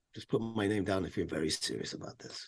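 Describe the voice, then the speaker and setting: A man's somewhat breathy, dark and mellow voice at a fairly low pitch, very fast in pace, over a quiet background. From England and Syria. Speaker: actor. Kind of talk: podcast interview.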